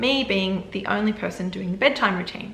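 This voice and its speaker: A woman with an Australian accent speaks at a medium pitch with ordinary pitch variation. There is noticeable background noise and audible room echo. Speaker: vlogger. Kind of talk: casual chat. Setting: home video setup.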